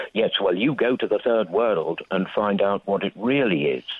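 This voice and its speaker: The man talks at a moderate pace. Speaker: retired merchant navy navigator. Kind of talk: phone-in call. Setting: phone call. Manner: halting.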